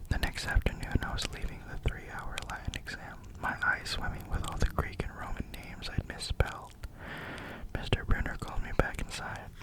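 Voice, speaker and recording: Whispering at a moderate pace, a man can be heard over noticeable background noise. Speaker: ASMR creator reading a novel aloud. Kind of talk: sleep story, audiobook-style reading.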